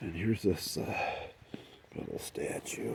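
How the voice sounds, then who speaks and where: A man is whispering. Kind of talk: ASMR whispered tour narration. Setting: outdoors, poolside yard in rainy weather. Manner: whispered, soft-spoken.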